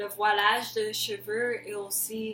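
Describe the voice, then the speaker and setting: Monotone, flat intonation in an English accent, with noticeable background noise. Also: woman. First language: English (speaking French). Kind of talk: testimony. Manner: halting.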